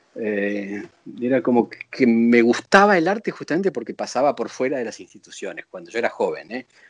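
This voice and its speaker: A man with an ordinary speaking voice talks at a fairly quick pace and medium pitch with lively intonation. His loudness swings widely, and the sound is dry and close with no echo. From Buenos Aires, Argentina. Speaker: visual artist. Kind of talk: interview.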